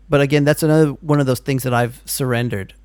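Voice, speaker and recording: Speaking with an American accent, a man has an unremarkable speaking voice, fairly high in pitch with ordinary pitch variation. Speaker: podcast host. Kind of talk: casual phone interview.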